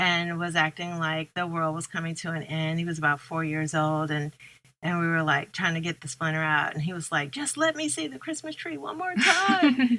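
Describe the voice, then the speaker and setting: The voice has a bright, sharp tone. It moves at a moderate pace with ordinary pitch variation. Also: woman, fairly low pitch for a woman. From US Midwest, St. Louis. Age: 60s. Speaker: author and poet. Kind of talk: interview conversation. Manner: reflective, with many fillers.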